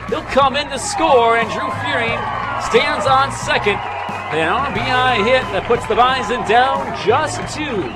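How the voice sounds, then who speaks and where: Loud music plays in the background. A man speaks at a fairly slow pace. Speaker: sports play-by-play radio broadcaster. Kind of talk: live baseball play-by-play radio call.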